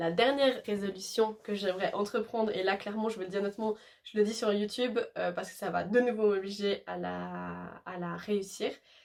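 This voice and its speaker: At a fairly quick pace with hardly any pauses, a woman speaks at a medium pitch and with ordinary pitch variation. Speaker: YouTuber. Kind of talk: casual vlog talk. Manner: fast; hesitant with many fillers.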